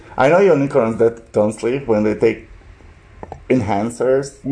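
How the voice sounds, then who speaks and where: Against noticeable background noise, a man of medium pitch speaks very slowly with ordinary pitch variation. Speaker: podcast co-host. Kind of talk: casual chat.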